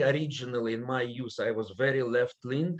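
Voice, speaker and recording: Ordinary pitch variation from a man with a non-native accent. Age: old. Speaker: political scientist. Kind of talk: panel presentation.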